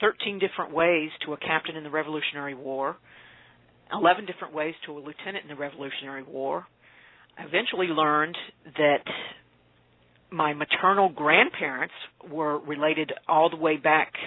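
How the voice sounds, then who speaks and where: A woman with an American accent and a very deep, low pitch, at a fairly quick pace with long, frequent pauses, big swings in loudness and fairly even intonation. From Appalachia, US. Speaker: author. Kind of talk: interview. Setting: radio interview.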